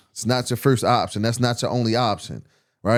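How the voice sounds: A man with a medium-pitched voice talks at a fairly quick pace and with fairly even intonation. The recording is very clean, with a silent background.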